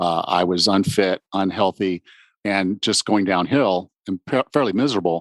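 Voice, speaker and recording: Recorded with a dry, close sound and no echo, a man with an ordinary speaking voice talks at a moderate pace in a fairly low pitch. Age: 50s. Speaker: fitness podcast host. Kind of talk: podcast interview; scripted introduction.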